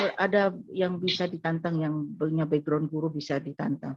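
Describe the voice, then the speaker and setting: A woman with a fairly low voice talks at a moderate pace against a quiet background. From Madura, Indonesia. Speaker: pastor and missionary. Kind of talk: testimony. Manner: halting.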